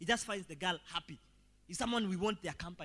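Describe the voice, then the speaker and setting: Projecting a raised voice, a man talks at a fairly quick pace with a high pitch and lively intonation. His tone is animated, bright and sharp. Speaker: pastor. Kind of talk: sermon. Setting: church.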